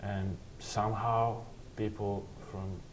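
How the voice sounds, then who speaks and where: Against noticeable background noise and audible room echo, a man speaks in a fairly low pitch with monotone, flat intonation. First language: Serbian. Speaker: college basketball player. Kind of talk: interview. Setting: sit-down interview.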